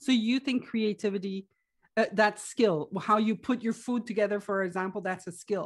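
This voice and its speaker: On a very clean recording with a silent background, a woman speaks at a moderate pace in a fairly high pitch with fairly even intonation. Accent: Quebec. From Quebec, Canada. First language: French. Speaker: life coach and businesswoman. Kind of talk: casual interview chat.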